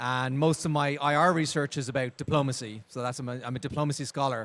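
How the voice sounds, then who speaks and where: A man speaks very fast at a fairly high pitch with fairly even intonation. The recording is very clean, with a silent background. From Ireland. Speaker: university lecturer. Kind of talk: panel discussion. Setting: stage with audience.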